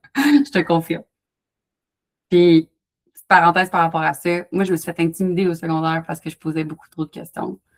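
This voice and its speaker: A woman with a fairly low pitch talks fairly quickly in an animated tone, with ordinary pitch variation and big swings in loudness. She takes long, frequent pauses, and the sound is dry and close with no echo. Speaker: wellness coach. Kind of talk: live online workshop Q&A. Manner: fast.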